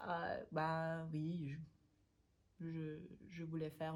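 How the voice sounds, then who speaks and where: A woman speaks with a German accent at a fairly low pitch. Her voice is somewhat breathy. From Vienna, Austria. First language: German (speaking French). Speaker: language learning youtuber. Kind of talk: casual vlog talk. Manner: halting, many hesitations.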